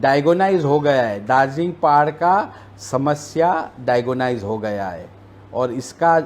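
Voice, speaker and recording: Speaking with a non-native accent, a man uses lively intonation at a fairly high pitch. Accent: non-native Hindi. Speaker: politician. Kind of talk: interview.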